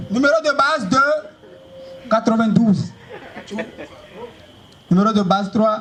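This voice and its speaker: A high-voiced man with a theatrical tone talks at a fairly slow pace, leaving long, frequent pauses, with ordinary pitch variation and noticeable background noise. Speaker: stand-up comedian. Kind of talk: stand-up comedy show. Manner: loud, theatrical, joking with the audience.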